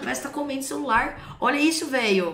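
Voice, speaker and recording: With audible room echo, a woman talks at a fairly quick pace and a high pitch. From São Paulo, Brazil. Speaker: streamer reacting to clips. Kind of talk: casual reaction chat with slang. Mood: mocking, amused. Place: home room.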